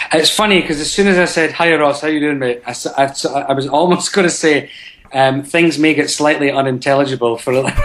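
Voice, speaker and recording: A man's fairly high voice in a strong Scottish accent, fairly quick and with ordinary pitch variation, over noticeable background noise. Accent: thick Scottish. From Scotland, Dundee. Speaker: actor. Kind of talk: interview. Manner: halting.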